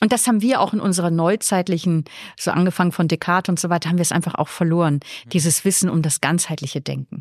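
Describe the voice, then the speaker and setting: A woman talks at a very fast pace with a fairly low pitch and ordinary pitch variation. The sound is dry and close, with no echo. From northern Germany, Flensburg on the Danish border. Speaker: nun, theologian and author. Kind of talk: casual interview.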